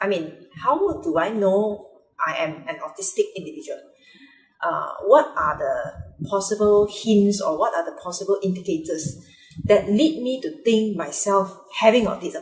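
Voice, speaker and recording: A woman at medium pitch with a Mandarin accent, very wide pitch swings and a moderate pace. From Malaysia, Penang. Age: adult. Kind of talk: personal vlog monologue. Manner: halting, many fillers.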